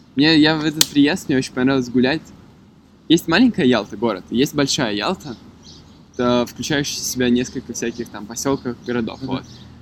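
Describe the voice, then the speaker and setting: A man's medium pitch varies in an ordinary way as he talks at a fairly quick pace. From Moscow, Russia. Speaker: podcast guest. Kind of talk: casual chat. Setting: outdoors in a city park.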